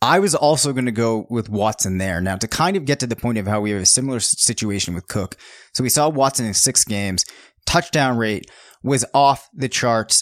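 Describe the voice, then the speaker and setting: At a fairly quick pace, a man speaks in a medium pitch with lively intonation, the sound dry and close with no echo on a very clean recording with a silent background. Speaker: fantasy football analyst and podcast host. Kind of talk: casual sports podcast chat. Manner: tends to talk fast.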